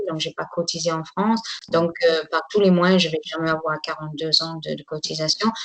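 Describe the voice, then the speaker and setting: Noticeable background noise sits behind a woman's voice. She has a fairly low pitch and speaks at a moderate pace. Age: 60s. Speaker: tour guide. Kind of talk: interview testimony. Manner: halting.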